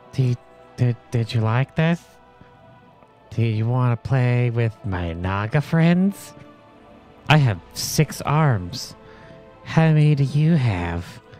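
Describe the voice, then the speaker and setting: A man puts on a character voice at medium pitch, speaking at a very slow pace with long, frequent pauses while clear music plays in the background. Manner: playful.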